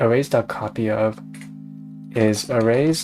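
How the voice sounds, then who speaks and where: An American accent over music in the background. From California. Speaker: vtuber streamer. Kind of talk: live-stream coding commentary. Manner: casual, thinking aloud.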